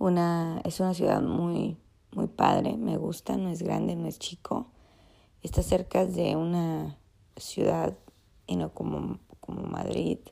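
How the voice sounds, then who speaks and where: Long pauses come often in this woman's speech. Her delivery is very slow. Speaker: travel vlogger on pilgrimage. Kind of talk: vlog monologue. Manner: halting, many fillers.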